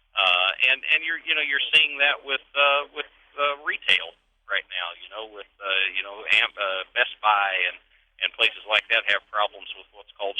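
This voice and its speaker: The speaker is a man with an unremarkable speaking voice. He talks at a moderate pace with lively intonation. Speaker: auction company executive, interviewee. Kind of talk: radio interview answer.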